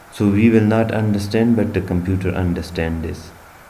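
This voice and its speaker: This man keeps a moderate pace while noticeable background noise and audible room echo fill the recording. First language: not English. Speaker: bioinformatics instructor. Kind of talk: tutorial. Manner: halting.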